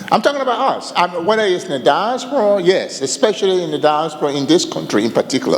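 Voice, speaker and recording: Over noticeable background noise, a man with a West African accent talks very fast in a high pitch, with very wide pitch swings and hardly any pauses. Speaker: audience member. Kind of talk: audience question.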